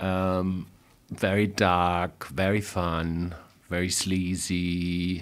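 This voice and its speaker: A man speaks at a very slow pace in a very deep, low pitch, his intonation monotone and flat. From Germany. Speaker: musician and artist. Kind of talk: casual interview chat. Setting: studio.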